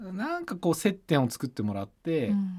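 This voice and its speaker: Dark, mellow male voice with very wide pitch swings on a very clean recording with a silent background. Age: 40s. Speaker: sports business executive and radio host. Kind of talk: casual chat.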